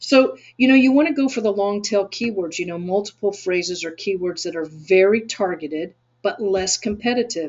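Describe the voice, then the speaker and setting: Lively intonation carries this speech, delivered at a moderate pace with a Texan accent. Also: woman. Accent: Texan American. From Texas. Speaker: SEO agency owner and webinar teacher. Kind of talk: webinar tutorial.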